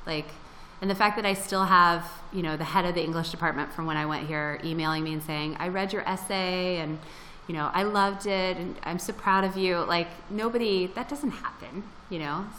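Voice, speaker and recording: A woman with an American accent, medium pitch and ordinary pitch variation, at a fairly quick pace, amid noticeable background noise and audible room echo. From Florida. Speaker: freelance writer and blogger. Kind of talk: interview. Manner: casual, with many fillers.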